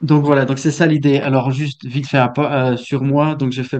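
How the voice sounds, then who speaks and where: The speaker is a man with a medium pitch. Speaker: software developer. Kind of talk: technical talk. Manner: halting, many fillers and repetitions.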